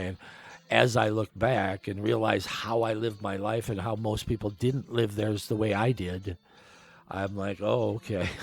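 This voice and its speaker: This man speaks at a moderate pace with a fairly low pitch. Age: 60s. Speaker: podcaster and former band keyboardist. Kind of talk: casual monologue podcast. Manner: hesitant, many fillers and restarts.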